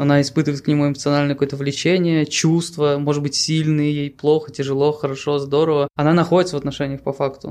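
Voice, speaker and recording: A man speaks at a very fast pace with hardly any pauses. His fairly high voice stays monotone and flat. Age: 30s. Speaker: podcast co-host. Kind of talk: casual chat.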